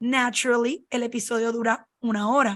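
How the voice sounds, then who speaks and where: A woman speaks in a high voice at a moderate pace. The background is quiet. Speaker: podcast host. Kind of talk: casual chat.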